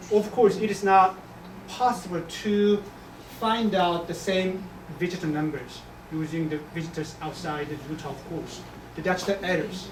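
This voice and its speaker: Someone talks at a moderate pace with a Korean accent. Noticeable background noise runs underneath. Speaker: economics professor. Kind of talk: lecture Q&A. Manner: halting.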